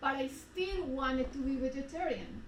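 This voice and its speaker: In a room with audible echo, a woman with a Spanish accent speaks at a moderate pace in a high pitch. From Colombia. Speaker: retreat speaker. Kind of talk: personal testimony.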